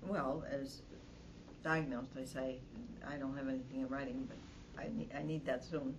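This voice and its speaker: Over noticeable background noise, a woman with a very deep, low pitch speaks at a moderate pace, with ordinary pitch variation and long, frequent pauses. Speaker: spouse caregiver. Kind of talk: support group discussion. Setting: in-person class.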